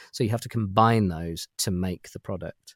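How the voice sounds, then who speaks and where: A man with a British accent at a fairly quick pace, ordinary pitch variation, and a dry, close sound with no echo, on a very clean recording over a silent background. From UK. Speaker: toy collector. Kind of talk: casual chat.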